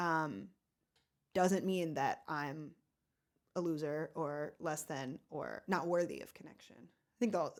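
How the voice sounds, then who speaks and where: A woman's very deep, low voice at a very slow pace, with ordinary pitch variation, big swings in loudness, and long, frequent pauses. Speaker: advice podcast co-host. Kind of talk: casual chat.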